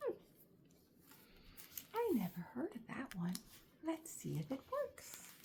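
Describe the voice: A woman's high voice with a slightly mellow tone, very wide pitch swings, a slow pace and vocal fry.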